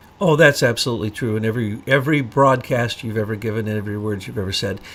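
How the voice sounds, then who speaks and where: A man with an American accent at a medium pitch and a very fast pace, amid noticeable background noise. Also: ordinary pitch variation. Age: 60s. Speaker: online talk show host. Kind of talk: interview discussion. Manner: halting.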